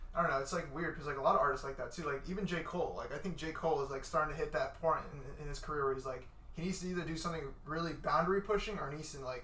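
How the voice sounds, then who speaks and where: Audible room echo and noticeable background noise surround a man with a fairly high pitch. He talks at a very fast pace with fairly even intonation. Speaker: podcast host. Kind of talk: casual chat. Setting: studio. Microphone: shared mic, quieter than guest.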